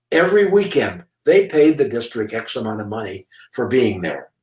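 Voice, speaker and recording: The speaker is a man. His pitch is fairly high. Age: 80s+. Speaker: retired school principal. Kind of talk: interview. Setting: office. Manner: halting.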